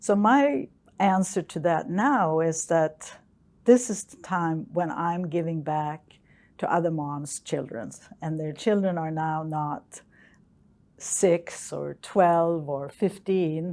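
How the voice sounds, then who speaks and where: A woman with a Swedish accent, very slow pace, and big swings in loudness. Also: fairly low pitch for a woman, ordinary pitch variation. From Sweden. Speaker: geophysicist. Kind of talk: interview. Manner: hesitant.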